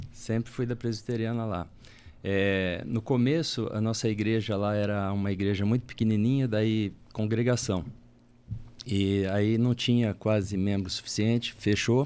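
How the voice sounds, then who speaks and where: A man with an ordinary speaking voice talks at a fairly slow pace. His fairly low pitch keeps a fairly even intonation. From Paraná, Brazil. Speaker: church elder. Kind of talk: casual chat.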